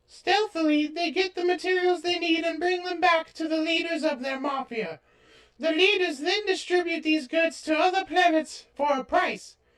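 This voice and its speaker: This is a cartoonish character voice. It sounds squeaky. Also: woman. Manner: warm, motherly.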